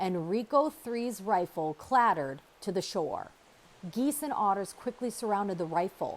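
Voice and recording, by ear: Reading aloud in a natural voice is what this clip contains.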